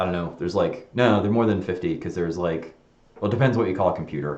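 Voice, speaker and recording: A man talks at a very fast pace with lively intonation. Room echo is audible. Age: 40s. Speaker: software designer live streaming; presenter. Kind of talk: casual live stream monologue. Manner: rambling with fillers and restarts. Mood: reflective, candid.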